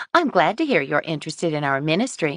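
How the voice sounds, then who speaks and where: A put-on character voice at a middle pitch races along at a very fast pace over a quiet background. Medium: read story. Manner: sugary, bustling.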